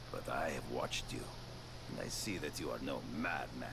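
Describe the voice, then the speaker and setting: Through loud background noise, a man uses a put-on character voice at a moderate pace. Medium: machinima. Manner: formal, measured, no contractions.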